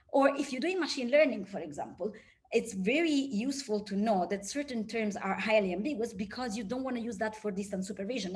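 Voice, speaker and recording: Over noticeable background noise and audible room echo, a woman talks at a fairly quick pace in a fairly high pitch with ordinary pitch variation. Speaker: research scientist. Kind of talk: lecture. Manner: fast.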